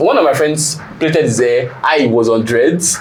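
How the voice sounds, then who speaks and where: Against noticeable background noise and audible room echo, a man speaks at a fairly high pitch. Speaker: panel guest. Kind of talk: casual debate. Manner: animated.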